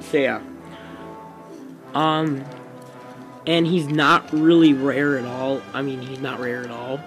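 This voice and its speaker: With music in the background and audible room echo, a man speaks at a very slow pace with long, frequent pauses. His intonation is fairly even while his loudness swings widely. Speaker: toy reviewer. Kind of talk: video review. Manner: halting, many fillers.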